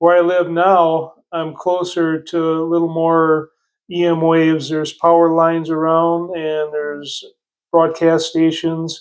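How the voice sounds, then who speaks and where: A man's high-pitched voice, monotone and flat, at a fairly slow pace against a quiet background. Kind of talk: casual explanatory talk. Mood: relaxed, amused. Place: home room. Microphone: phone near.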